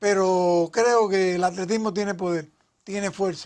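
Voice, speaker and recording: At a very slow pace, a man speaks in a high pitch with fairly even intonation. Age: 80s+. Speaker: athletics coach and sports historian. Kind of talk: interview.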